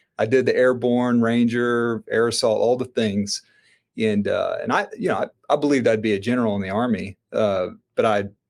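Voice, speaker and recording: A man with a Southern accent talks at a moderate pace. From US South, Florida panhandle. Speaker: entrepreneur and army veteran. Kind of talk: podcast interview. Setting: remote, own studio setup.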